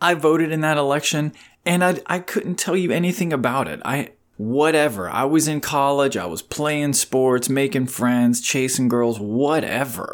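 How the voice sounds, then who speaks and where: A man with a normal speaking voice, fairly high pitch, ordinary pitch variation and a moderate pace, on a very clean recording with a silent background. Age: 40s. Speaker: life coach podcaster. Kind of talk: solo monologue podcast. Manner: casual, laughing.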